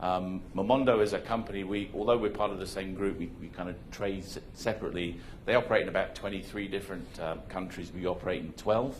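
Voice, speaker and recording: A man speaks at a fairly quick pace with a British accent and ordinary pitch variation. Audible room echo surrounds his voice. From Hong Kong. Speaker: conference speaker, marketing executive. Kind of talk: conference presentation. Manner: casual, halting with fillers.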